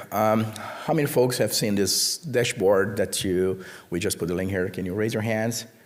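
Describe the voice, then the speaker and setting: A man with a fairly low voice is heard with audible room echo. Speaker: conference speaker, network researcher. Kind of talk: conference talk. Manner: hesitant, many fillers.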